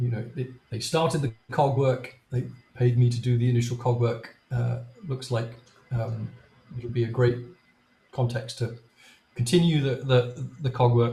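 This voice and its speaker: A man with a medium pitch and a dark, mellow, somewhat breathy tone talks at a fairly slow pace. His intonation is flat and monotone, broken by long, frequent pauses. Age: 60s. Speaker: software developer. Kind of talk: technical presentation. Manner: halting, many fillers.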